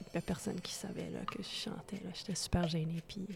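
Pitch moves in an ordinary way throughout. The woman speaking sits at a medium pitch. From Manitoba, Canada. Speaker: singer-songwriter. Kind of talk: interview. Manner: hesitant; soft-spoken.

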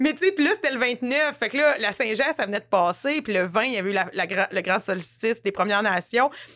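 In a bright, sharp tone, a woman talks animatedly with lively intonation. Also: fairly high pitch for a woman, fairly quick pace. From rural Quebec. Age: 30s. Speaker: actress. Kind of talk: casual chat.

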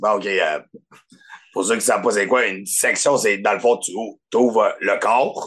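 A man with a Quebec accent speaks at a fairly slow pace, with long, frequent pauses. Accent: Québécois French. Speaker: podcast guest. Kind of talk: casual chat.

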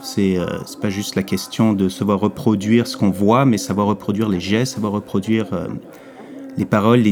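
Music plays in the background as a man talks in a fairly low voice. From Quebec. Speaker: comic book author. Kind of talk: interview.

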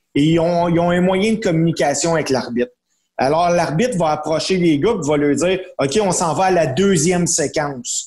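Pitched high, the man talks at a moderate speed, his pitch moving in an ordinary way. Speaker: wrestling commentator. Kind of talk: casual chat.

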